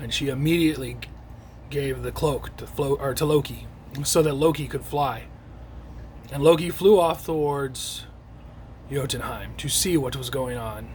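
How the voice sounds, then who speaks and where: A man's raspy, put-on character voice at a moderate pace, with long, frequent pauses and light background noise. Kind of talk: classroom storytelling. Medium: read story.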